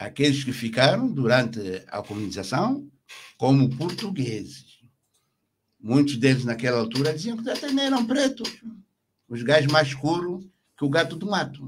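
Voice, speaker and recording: Somewhat breathy, a man with a fairly high pitch speaks at a moderate pace with very wide pitch swings and long, frequent pauses, over noticeable background noise. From Angola, Bengo region; Angola. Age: 70s. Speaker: retired army general; interview guest. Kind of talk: radio interview. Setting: radio studio. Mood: critical, impassioned. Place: studio. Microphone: studio mic.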